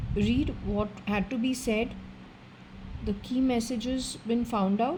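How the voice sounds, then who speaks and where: In an Indian accent, a woman speaks at a fairly high pitch with fairly even intonation, and audible room echo surrounds her voice. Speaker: occultist, psychic reader. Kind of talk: solo spiritual reading session, talking to a spirit. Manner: casual, conversational.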